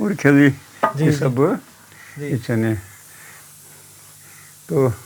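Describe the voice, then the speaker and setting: A man's fairly high voice with ordinary pitch variation, over noticeable background noise. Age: 80s+. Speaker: farmer. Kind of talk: interview answer, giving a house tour. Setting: outdoors, rural village homestead.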